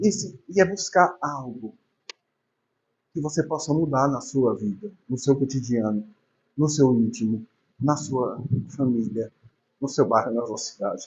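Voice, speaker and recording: Soft-spoken and somewhat breathy, a fairly high-voiced man talks fairly slowly with lively intonation and long, frequent pauses. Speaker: spiritist lecturer. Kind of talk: religious lecture. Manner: conversational, informal.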